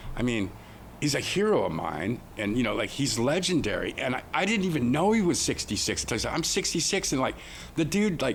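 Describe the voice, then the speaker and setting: A man speaks at a fairly quick pace in a fairly high pitch with very wide pitch swings. Vocal fry shows in his voice. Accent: American. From Oregon, US. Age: 50s. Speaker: snowboarder and skateboarder. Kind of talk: casual chat.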